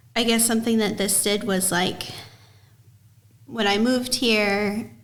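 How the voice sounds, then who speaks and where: With an American accent, a woman speaks at a fairly slow pace and fairly high pitch in a monotone, flat intonation and very even loudness, with audible room echo. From United States. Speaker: author and illustrator. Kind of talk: interview.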